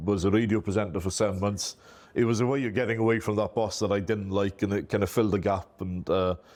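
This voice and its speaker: Speaking fairly quickly in a strong Welsh accent, a man keeps a fairly low pitch and fairly even intonation. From Wales. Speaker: IT company owner. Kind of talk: interview. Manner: talkative, easy flow.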